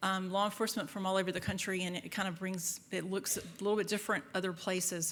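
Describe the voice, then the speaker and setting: The delivery comes at a very fast pace. The intonation stays monotone and flat. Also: woman. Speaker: FBI agent and trainer. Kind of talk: lecture. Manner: loud; halting.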